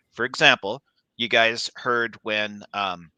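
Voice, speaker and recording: A man with a Canadian accent and a fairly low pitch speaks in a bright, sharp tone with fairly even intonation, the sound dry and close with no echo over a quiet background. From Canada. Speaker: architect. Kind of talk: casual chat.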